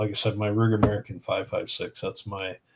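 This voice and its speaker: Recorded very cleanly against a silent background, a man speaks with a Canadian prairie accent. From Saskatchewan, Canada. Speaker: firearms association director. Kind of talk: casual podcast chat.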